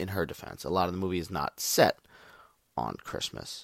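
A man's very deep, low voice with vocal fry, an animated tone and a very fast pace, dry and close with no echo, on a very clean recording with a silent background. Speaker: podcast host, movie reviewer. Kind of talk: casual solo monologue. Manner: animated, profane.

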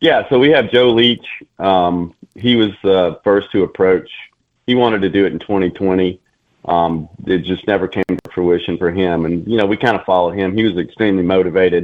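A man talks with a Southern US accent at a moderate pace. His voice is very deep and low, with ordinary pitch variation. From Alabama, Mobile. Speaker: army veteran, nonprofit co-founder. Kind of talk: radio interview. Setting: phone call.

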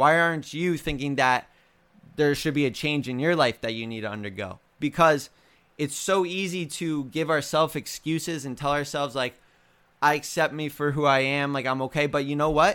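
A man speaks at a fairly high pitch with a bright, sharp tone, an animated delivery and ordinary pitch variation. His pace is moderate, and the recording is very clean with a silent background. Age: 20s. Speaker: fitness coach and podcast host. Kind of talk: motivational talk.

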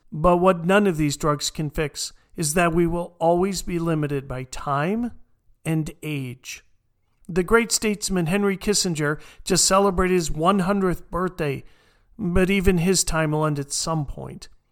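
The delivery is fairly unhurried. Behind it, the audio is very clean and the background completely silent. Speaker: podcast host. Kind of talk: scripted narration of history, with read-aloud speeches. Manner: formal, solemn, measured; grave, stately oratorical delivery in the quoted patriotic passages, slowing on each line.

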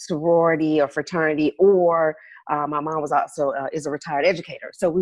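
A woman with an American accent and an unremarkable speaking voice, fairly low in pitch, at a moderate pace with a quiet background. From US South, Birmingham, Alabama. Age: 40s. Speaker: consulting firm founder. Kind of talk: casual interview.

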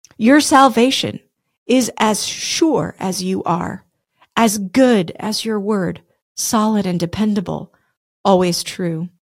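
The speaker is a woman with a medium pitch. She goes at a very slow pace. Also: ordinary pitch variation. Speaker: podcast host. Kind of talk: fervent prayer; devotional talk with prayer. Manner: earnest, fervent, heartfelt.

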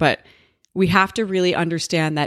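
A woman with a fairly low pitch at a fairly quick pace, in a very clean recording with a silent background and a dry, close sound without echo. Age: 40s. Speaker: podcast host. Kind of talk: unscripted solo monologue. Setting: home office. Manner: casual, rambling.

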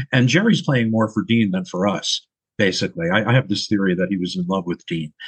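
A man with an American accent and an ordinary speaking voice, fairly low in pitch, lively in intonation, at a fairly quick pace. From New York, Long Island. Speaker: comedian and stage actor. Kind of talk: casual interview.

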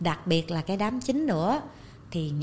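A woman speaks at a fairly slow pace in a medium pitch, her dark, mellow tone somewhat breathy and marked by very wide pitch swings. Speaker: TV presenter and author. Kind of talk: casual interview.

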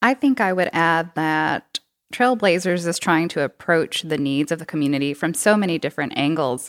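In an ordinary speaking voice, a woman with fairly low pitch talks at a moderate pace with lively intonation, the sound dry and close with no echo on a very clean recording with a silent background. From Texas. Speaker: cycling program coordinator and bike mechanic. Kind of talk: casual interview. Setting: studio.

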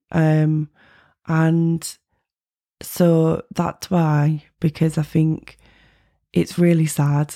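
A woman speaks at a very deep, low pitch. Her tone is dark and mellow. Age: 30s. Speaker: singer-songwriter. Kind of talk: interview. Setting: studio. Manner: casual, hesitant.

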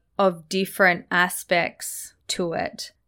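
Very slowly, a woman speaks with an Australian accent at a fairly low pitch. The recording is very clean, with a silent background. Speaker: podcast host and cross-cultural communication specialist. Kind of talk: podcast monologue. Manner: reflective, sincere.

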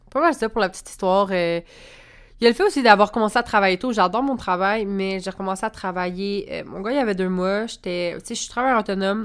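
This woman talks at a fairly quick pace in a Quebec accent, with medium pitch and ordinary pitch variation. The recording is very clean, with a silent background. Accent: Québécois French. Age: 20s. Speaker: podcast host, spiritual coach and entrepreneur. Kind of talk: casual monologue.

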